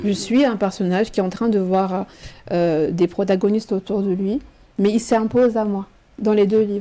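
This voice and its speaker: The pace is moderate. Intonation stays fairly even. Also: woman. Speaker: teacher and writer. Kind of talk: radio interview answer. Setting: studio.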